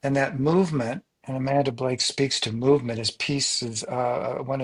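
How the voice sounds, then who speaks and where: A man speaks at a moderate pace in a normal speaking voice. His intonation stays fairly even. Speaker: coach. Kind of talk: interview. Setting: podcast.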